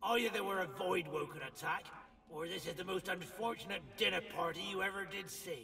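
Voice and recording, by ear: The reading aloud is done in a natural voice, and the pitch moves in an ordinary way.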